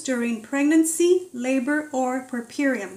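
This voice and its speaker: A loud woman with a high pitch at a fairly slow pace. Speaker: vegan atheist commentator. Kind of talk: opinion commentary to camera. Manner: gets louder as the video goes on.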